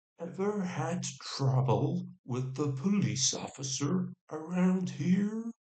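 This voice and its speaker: A put-on character voice from a man, gravelly and fairly high-pitched, at a very slow pace with hardly any pauses. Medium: read story. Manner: gruff but friendly.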